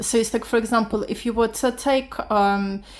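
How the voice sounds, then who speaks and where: A woman with a non-native accent talks at a fairly slow pace in a very clean recording with a silent background. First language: not English. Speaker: beginner art vlogger. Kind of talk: casual vlog talk. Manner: halting.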